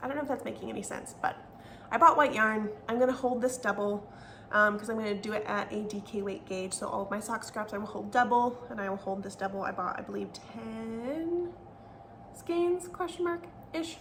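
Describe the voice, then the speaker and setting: Speaking at a fairly quick pace, a woman with a fairly high pitch and lively intonation is heard with audible room echo and noticeable background noise. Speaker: knitting podcaster. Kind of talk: casual chat.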